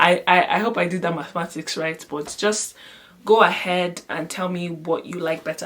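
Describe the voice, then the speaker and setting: Noticeable background noise surrounds a woman speaking at a moderate pace. Her fairly low voice shows ordinary pitch variation. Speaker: vlogger. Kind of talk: vlog product demo. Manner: casual, chatty.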